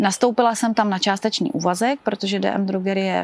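Fairly quick speech from a woman at a medium pitch, fairly even in intonation, over noticeable background noise. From Czechia, České Budějovice. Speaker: drugstore branch manager, cancer survivor and runner. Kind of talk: casual interview testimony.

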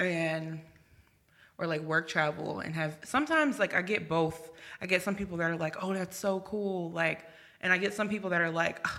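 A woman's unremarkable speaking voice with an American accent, fairly low in pitch, at a moderate pace with fairly even intonation. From Virginia and New Jersey, US East Coast. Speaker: journalist. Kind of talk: casual chat.

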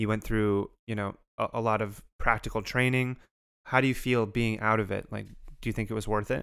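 On a very clean recording with a silent background, a man speaks in a monotone, flat intonation at a medium pitch and moderate pace. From Canada (Montreal area). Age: 30s. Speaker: podcast co-host. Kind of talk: casual chat.

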